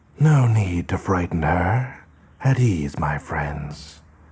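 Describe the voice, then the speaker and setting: In a put-on character voice, a man speaks very slowly with a very deep, low pitch and very wide pitch swings. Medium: read story. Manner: courtly, calm, silken.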